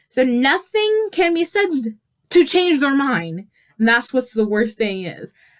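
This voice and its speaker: A loud woman's voice, high-pitched, with very wide swings in pitch. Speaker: youtuber. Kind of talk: casual vlog monologue. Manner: halting, many fillers.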